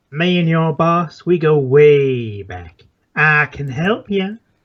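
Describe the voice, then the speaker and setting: A gravelly put-on character voice at a middle pitch moves at a very slow pace. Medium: game stream. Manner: menacing, sneering, coaxing.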